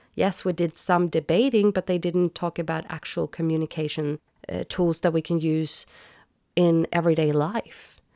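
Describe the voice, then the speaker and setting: A woman's fairly low voice with a Swedish accent, dark and mellow in tone, with fairly even intonation. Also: moderate pace. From Sweden. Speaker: podcast host. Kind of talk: solo podcast monologue.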